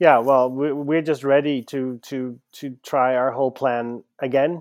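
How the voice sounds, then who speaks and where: A man speaks with a Dutch accent at a fairly slow pace. His intonation is monotone and flat, and the sound is dry and close with no echo. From Netherlands. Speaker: gallerist. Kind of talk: interview. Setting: video call.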